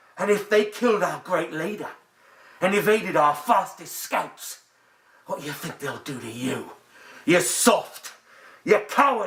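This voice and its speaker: A man's high-pitched, put-on character voice at a moderate pace, broken by long, frequent pauses. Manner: threatening, shouting.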